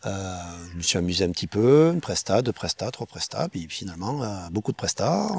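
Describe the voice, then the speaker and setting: A man with a slight Catalan French accent, fairly low pitch and very wide pitch swings, at a moderate pace, in a dry, close sound with no echo. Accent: slight southern French (Catalan). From Perpignan, French Catalonia. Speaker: street food chef and caterer. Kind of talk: casual interview chat.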